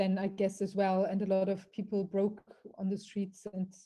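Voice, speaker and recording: Somewhat breathy and dark, mellow in tone, this voice moves at a moderate pace with a German accent. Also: woman. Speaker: interviewer. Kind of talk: interview.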